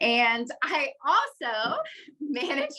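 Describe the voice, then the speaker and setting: With an American accent, a woman speaks in a fairly high voice with a bright, sharp tone. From West Virginia. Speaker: mountain bike coach. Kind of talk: online panel talk / webinar.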